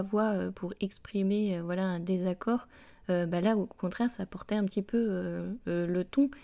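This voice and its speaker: A woman speaks at a medium pitch with a dark, mellow tone and fairly even intonation. Her pace is fairly slow, on a very clean recording with a silent background. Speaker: reiki teacher and podcaster, former primary school teacher. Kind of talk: spiritual podcast talk. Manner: hesitant, many fillers.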